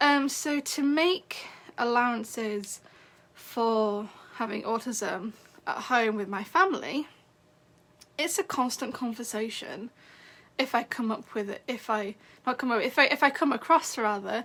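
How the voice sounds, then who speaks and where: A woman with an English accent talks at a fairly slow pace and high pitch, with long, frequent pauses. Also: ordinary pitch variation. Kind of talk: casual livestream talk. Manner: halting.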